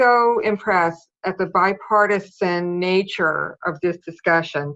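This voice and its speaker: At a fairly slow pace, a woman with an ordinary speaking voice talks at medium pitch with ordinary pitch variation. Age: 60s. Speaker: public commenter at county meeting. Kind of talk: public comment.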